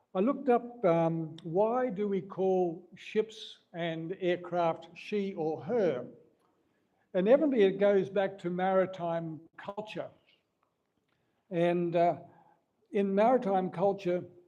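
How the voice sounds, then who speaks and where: A man with an Australian accent, high-pitched and dark, mellow in tone, at a very slow pace with long, frequent pauses and ordinary pitch variation. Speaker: mission aviation representative. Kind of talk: speech to an audience.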